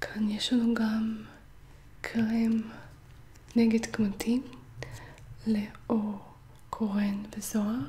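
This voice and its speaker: Whispering and soft-spoken at a very slow pace, the voice leaves long, frequent pauses amid noticeable background noise. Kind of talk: ASMR shopping haul talk. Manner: soft-spoken or whispered.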